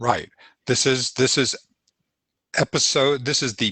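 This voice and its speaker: Against a quiet background, a man talks at a medium pitch with a bright, sharp tone. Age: 70s. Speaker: talk show host. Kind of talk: casual chat. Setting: livestream video call.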